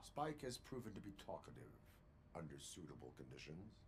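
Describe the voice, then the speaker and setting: A man's put-on character voice, very deep and low, at a fairly quick pace over clear background noise. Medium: video game. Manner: flat, clipped, formal.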